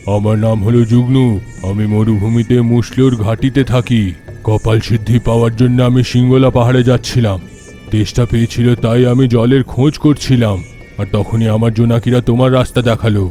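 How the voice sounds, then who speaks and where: A man in a put-on character voice at medium pitch and moderate pace, with clear music in the background. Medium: audio drama. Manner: laughing, commanding.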